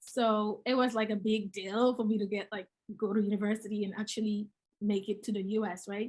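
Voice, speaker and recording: A woman speaks with a Gambian accent, somewhat breathy. Her intonation stays monotone and flat at a fairly quick pace. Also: fairly high pitch for a woman. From The Gambia, West Africa. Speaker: real estate investor. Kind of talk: interview. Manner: halting.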